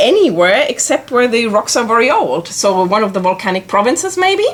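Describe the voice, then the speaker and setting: A woman speaks at a fairly high pitch, her voice making very wide pitch swings. Noticeable background noise runs underneath. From Germany. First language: German. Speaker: planetary scientist, lecturer. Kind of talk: informal educational presentation.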